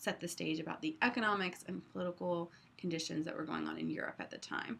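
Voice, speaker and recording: A woman's fairly low-pitched voice with a bright, sharp tone, at a fairly quick pace. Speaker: history teacher. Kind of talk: lecture. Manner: fast.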